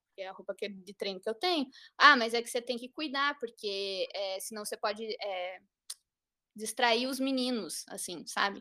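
On a very clean recording with a silent background, a woman speaks at a moderate pace in a bright, sharp, fairly high-pitched voice. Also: ordinary pitch variation. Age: 30s. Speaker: parkour coach. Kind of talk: casual chat.

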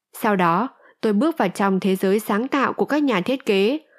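In an ordinary speaking voice, a woman talks at a moderate pace with lively intonation and a fairly high pitch, the sound dry and close with no echo on a very clean recording with a silent background. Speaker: audiobook narrator. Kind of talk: reading aloud.

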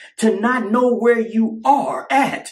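A man talks in a high pitch at a very slow pace with an American accent. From California. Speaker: religious podcaster. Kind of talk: sermon-style monologue.

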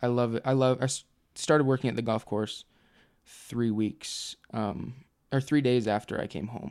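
In a plain, everyday voice, a man talks at a moderate pace with a medium pitch on a very clean recording with a silent background. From Utah. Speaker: nursing student, returned missionary. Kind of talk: casual interview, personal story.

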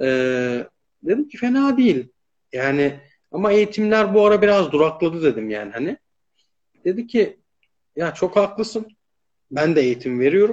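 A man talks at a moderate pace with a high pitch and very wide pitch swings. His loudness swings widely, and he leaves long, frequent pauses. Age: 30s. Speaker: live stream host. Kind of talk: casual interview.

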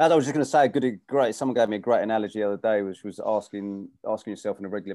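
In an English accent, a man with a fairly low pitch and dark, mellow tone talks very fast with hardly any pauses and big swings in loudness, in a very clean recording with a silent background. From UK. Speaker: gym owner and running coach. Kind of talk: interview.

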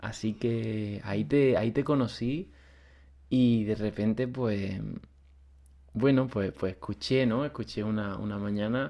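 The voice has a dark, mellow tone and a fairly slow pace. Behind it, the background stays quiet. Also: man. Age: 20s. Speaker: podcast host, student of a spiritual course. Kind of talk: interview conversation. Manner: halting, with many repetitions.

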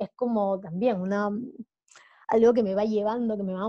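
A woman talks with a fairly high pitch and ordinary pitch variation. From Peru. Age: 30s. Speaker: diving instructor and traveler. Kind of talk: interview conversation.

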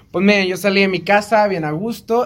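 A man with a Mexican accent talks at a fairly quick pace in a high pitch. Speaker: podcast co-host. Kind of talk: casual chat.

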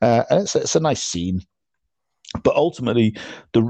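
In a British accent, a man speaks at a fairly quick pace, the sound dry and close with no echo against a quiet background. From UK. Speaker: podcast host. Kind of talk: casual chat. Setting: remote call. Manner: halting.

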